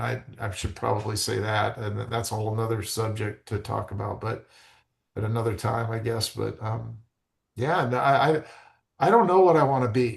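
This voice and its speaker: Over a quiet background, a man with a medium pitch and an American accent talks at a moderate pace with vocal fry. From Arizona. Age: 60s. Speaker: real estate agent. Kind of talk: podcast interview. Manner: halting.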